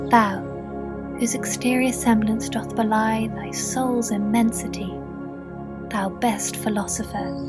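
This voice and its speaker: With music in the background, a woman in an English accent talks at a fairly slow pace, leaving long, frequent pauses. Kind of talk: ASMR poetry reading for sleep. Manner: soft, relaxing.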